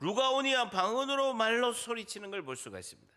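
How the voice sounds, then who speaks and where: At a moderate pace, a man speaks in a raised, projected voice with a bright, sharp tone. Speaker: pastor. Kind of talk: sermon.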